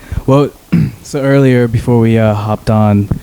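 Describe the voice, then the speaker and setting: Against noticeable background noise, a man with a medium pitch speaks at a fairly slow pace. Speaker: podcast host. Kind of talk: casual chat. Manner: loud.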